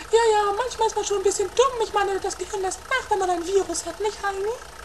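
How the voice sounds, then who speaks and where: A woman puts on a squeaky character voice at an extremely high pitch, speaking fairly quickly over clear background noise. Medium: audio drama.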